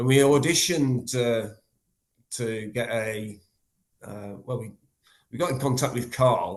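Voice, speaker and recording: Here a man talks at a moderate pace in an English accent. His voice is medium in pitch, with ordinary pitch variation. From England. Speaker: death metal guitarist and vocalist. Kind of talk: interview. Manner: halting.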